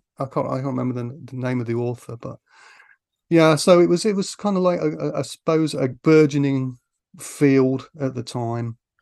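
A man speaks with an East Midlands accent. The background is quiet. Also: medium pitch for a man, lively intonation, moderate pace. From Grantham, Lincolnshire, England. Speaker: film author. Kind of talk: casual chat. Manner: hesitant, many fillers.

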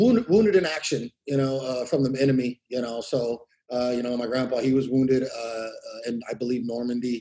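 A man talks at a fairly quick pace with a Californian accent, his pitch medium. His tone is dark and mellow, with ordinary pitch variation. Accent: Californian American. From California Central Valley. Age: 30s. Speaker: war veteran. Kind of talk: interview. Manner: halting.

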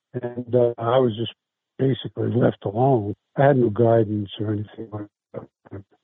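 The voice has a New York accent, monotone, flat intonation and big swings in loudness. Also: man, medium pitch for a man, moderate pace. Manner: halting, many fillers.

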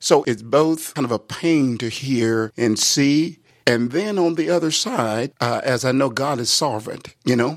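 A man speaks at medium pitch in an unremarkable speaking voice. His pace is fairly slow, with ordinary pitch variation. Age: 60s. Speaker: pastor. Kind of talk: interview.

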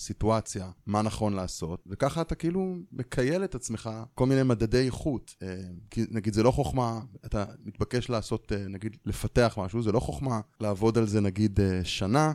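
A man speaks at a moderate pace with a fairly low pitch and lively intonation, in a very clean recording with a silent background and a dry, close sound with no echo. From Israel. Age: 40s. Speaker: software team lead. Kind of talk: interview.

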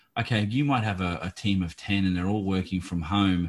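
In an Australian accent, a man speaks with a very deep, low pitch and fairly even intonation. The recording is very clean, with a silent background. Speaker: podcast host. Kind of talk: interview.

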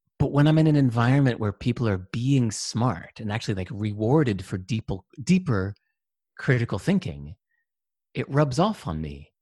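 With a dry, close sound with no echo, a man of medium pitch speaks in a somewhat breathy voice with a dark, mellow tone and very wide pitch swings. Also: moderate pace, quiet background. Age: 50s. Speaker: entrepreneur and author. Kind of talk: casual interview. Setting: video call.

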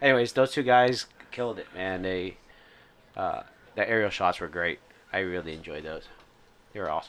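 A man of medium pitch speaks at a moderate pace with lively intonation, long, frequent pauses and big swings in loudness. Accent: American. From Indiana, US Midwest. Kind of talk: casual chat, podcast banter.

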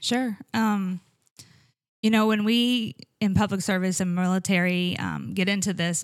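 Here a woman has an ordinary speaking voice at a medium pitch, moving at a moderate pace with ordinary pitch variation in a dry, close sound with no echo. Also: very clean recording, silent background. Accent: American. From Iowa. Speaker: paramedic. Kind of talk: interview.

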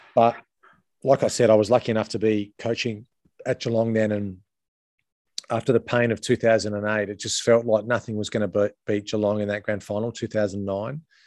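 With an Australian accent, a man speaks at a fairly low pitch and moderate pace in a monotone, flat intonation, with a dry, close sound and no echo. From Adelaide, South Australia. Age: 40s. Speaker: former footballer and coach. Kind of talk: casual interview.

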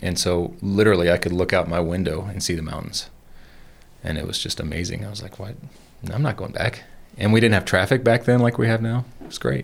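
A man's voice with vocal fry, ordinary pitch variation and big swings in loudness. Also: fairly low pitch for a man, fairly quick pace. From US South, Georgia. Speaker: tech startup co-founder and executive. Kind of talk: casual interview.

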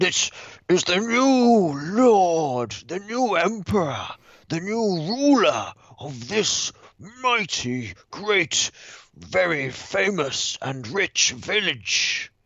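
Putting on a character voice, a man speaks at a very slow pace. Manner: grand, proclaiming.

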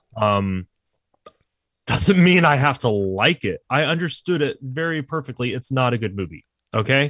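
A man's unremarkable speaking voice in an American accent, medium in pitch, at a moderate pace, with lively intonation and a dry, close sound with no echo. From Texas, San Antonio. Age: 30s. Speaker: podcast guest, movie fan. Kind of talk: casual chat.

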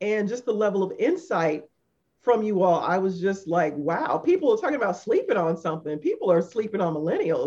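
The voice is somewhat breathy and dark, mellow in tone, moving at a fairly quick pace with lively intonation. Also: woman, medium pitch for a woman. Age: 50s. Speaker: podcast co-host. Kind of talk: casual chat.

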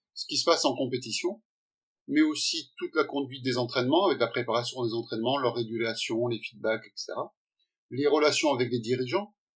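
A man speaks at a medium pitch in an ordinary speaking voice. His pitch varies in an ordinary way. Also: fairly quick pace. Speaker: sports science professor. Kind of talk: interview. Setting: video call.

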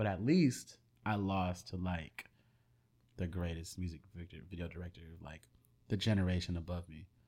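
A man speaks at a moderate pace in a very deep, low voice with a dark, mellow tone, somewhat breathy, and ordinary pitch variation. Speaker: video and music creator. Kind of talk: casual chat. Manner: talkative.

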